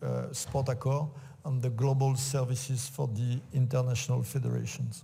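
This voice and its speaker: A man with a French accent in a dark, mellow, somewhat breathy tone, monotone and flat in intonation, at a moderate pace with audible room echo. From France. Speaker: sports executive. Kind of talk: conference talk. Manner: halting.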